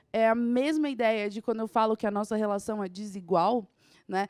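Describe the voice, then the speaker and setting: A woman's fairly high voice in a southeastern Brazilian accent, at a fairly quick pace, with a dry, close sound and no echo. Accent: Southeast Brazilian. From Southeast Brazil. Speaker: teacher. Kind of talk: lecture. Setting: studio.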